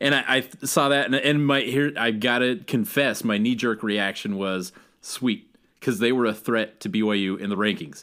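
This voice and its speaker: On a very clean recording with a silent background, a man's bright, sharp, medium-pitched voice moves at a moderate pace with lively intonation. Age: 30s. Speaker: sports podcast co-host. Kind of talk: casual sports chat.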